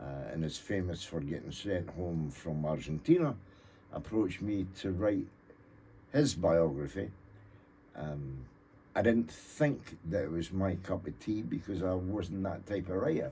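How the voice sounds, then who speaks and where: Here a man speaks in a Scottish accent with a very deep, low pitch and a dark, mellow tone. His voice is somewhat breathy and his pace fairly slow. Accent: Scottish (Fife). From Scotland (Thornton, Fife). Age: 70s. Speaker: author and cartoonist. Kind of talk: radio interview. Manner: halting, many fillers.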